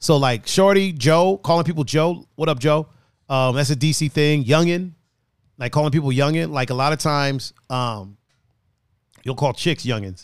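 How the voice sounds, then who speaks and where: On a very clean recording with a silent background, a man speaks in an animated tone at a moderate pace, with a fairly high pitch and ordinary pitch variation. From outside US, moved to US East Coast. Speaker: podcast host. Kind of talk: casual banter podcast. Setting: studio. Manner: animated, joking.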